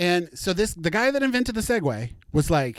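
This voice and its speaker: The recording is very clean with a silent background as a man speaks at a moderate pace in an animated tone with very wide pitch swings. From US Midwest, rural Missouri. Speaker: podcast host. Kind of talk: casual solo podcast chat.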